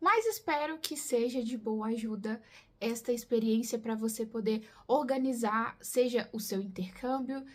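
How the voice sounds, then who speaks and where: Somewhat breathy, a woman with a Brazilian accent speaks at a fairly high pitch and a moderate pace with fairly even intonation. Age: 20s. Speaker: YouTuber living abroad. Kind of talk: casual talk to camera.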